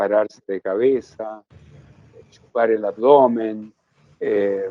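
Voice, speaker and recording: A man talking at a very slow pace. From Chile. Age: 70s. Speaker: yoga teacher. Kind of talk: interview.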